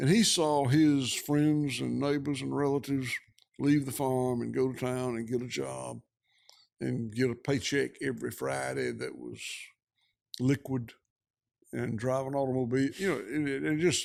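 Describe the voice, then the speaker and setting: Long, frequent pauses break up this speech in a Georgia accent. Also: man, moderate pace. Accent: southern US (Georgia). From US South. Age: 60s. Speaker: rancher. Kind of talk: interview conversation.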